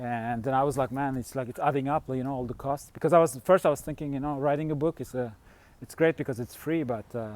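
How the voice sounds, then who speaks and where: Speaking very fast with a Turkish accent, a man keeps a medium pitch and fairly even intonation. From Turkey. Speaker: fasting vlogger. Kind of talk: casual vlog monologue. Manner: halting, many fillers.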